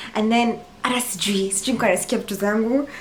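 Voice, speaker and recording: Fast-ish and with a Kenyan accent, a woman talks amid noticeable background noise and audible room echo. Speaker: crafting YouTuber. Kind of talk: reaction video commentary. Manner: relaxed, conversational.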